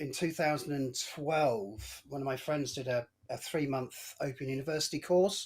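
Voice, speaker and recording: Using a normal speaking voice, a man talks at a fairly slow pace with a fairly high pitch. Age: 60s. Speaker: hobbyist aviation and wildlife photographer. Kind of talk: interview.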